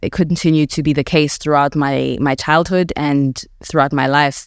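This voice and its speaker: A woman speaks at a very deep, low pitch in a monotone, flat intonation. Her loudness stays very even, with hardly any pauses. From South Africa, Alexandra township, Johannesburg. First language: Setswana (heritage; English dominant). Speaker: podcast host and writer. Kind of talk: reflective personal narration. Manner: measured, reflective.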